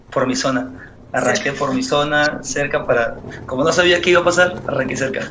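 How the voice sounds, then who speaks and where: A man with a fairly high pitch speaks at a fairly quick pace with lively intonation. Audible room echo and noticeable background noise surround him. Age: 20s. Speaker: street singer. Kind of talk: interview testimony.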